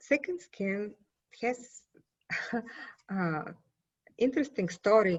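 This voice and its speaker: Very slowly, a woman speaks at medium pitch in a somewhat breathy voice, her pitch swinging very widely. She leaves long, frequent pauses. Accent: Bulgarian. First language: Bulgarian. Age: 50s. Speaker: poet. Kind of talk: interview.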